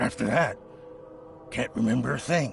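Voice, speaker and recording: A man puts on a raspy character voice at a moderate pace. Clear background noise sits behind him. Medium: video game. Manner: defensive, bitter.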